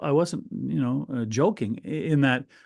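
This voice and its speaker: A man with a Canadian accent has a plain, everyday voice at a medium pitch. He keeps a moderate pace and lively intonation. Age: 60s. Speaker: hockey radio broadcaster. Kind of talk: podcast interview. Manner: conversational, with frequent fillers and restarts.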